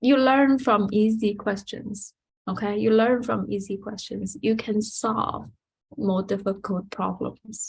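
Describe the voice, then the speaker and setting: Speaking at a very slow pace, a woman uses a medium pitch, fairly even intonation and vocal fry. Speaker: math teacher. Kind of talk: lecture. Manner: halting.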